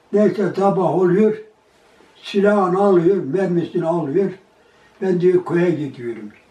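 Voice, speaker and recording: With audible room echo, a man speaks at a fairly slow pace. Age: 80s+. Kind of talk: oral history interview answer. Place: home room. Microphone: camera far.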